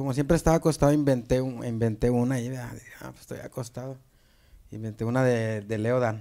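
Over a quiet background, a man with a dark, mellow tone talks at a fairly quick pace and medium pitch, his intonation fairly even but his loudness swinging widely. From Apodaca, Nuevo León, Mexico; Nuevo León, Mexico. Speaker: viral video comedian. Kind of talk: casual chat. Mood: relaxed, amused storytelling. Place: studio. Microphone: handheld.

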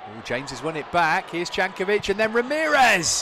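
Over noticeable background noise, a man with a British accent speaks in an excited, animated tone with lively intonation. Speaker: match commentator. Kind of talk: live match commentary. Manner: animated, fast, rising in pitch at goals; excited play-by-play delivery.

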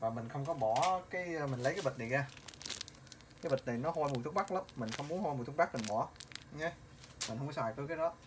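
Over noticeable background noise, someone talks at a very fast pace. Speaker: home cook vlogger. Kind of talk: casual cooking tutorial. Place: kitchen. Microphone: phone near.

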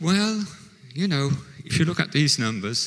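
Against a quiet background, a man speaks with lively intonation in a bright, sharp tone. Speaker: conference presenter. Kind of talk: conference talk. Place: hall. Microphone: handheld.

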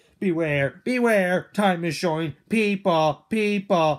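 Middle pitch at a fairly slow pace. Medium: machinima. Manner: desperate, shouting.

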